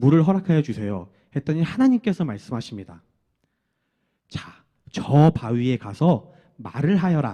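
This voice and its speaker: Lively in intonation, a man speaks at a moderate pace with a fairly high pitch and a dark, mellow tone. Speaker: children's ministry preacher. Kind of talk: children's sermon.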